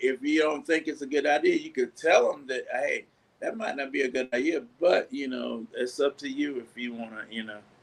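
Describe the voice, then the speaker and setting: A man speaks at a moderate pace. He leaves hardly any pauses. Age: 60s. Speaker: bass player. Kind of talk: interview.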